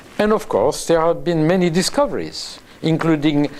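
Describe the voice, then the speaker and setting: A man speaks in a fairly high pitch with a French accent. Noticeable background noise runs through the clip. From France. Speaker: neuroscientist. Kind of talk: interview. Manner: halting.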